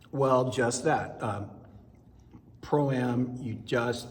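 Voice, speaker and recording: A man speaks at a very slow pace. Audible room echo surrounds his voice. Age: 60s. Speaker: amateur ballroom dancer. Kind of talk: interview.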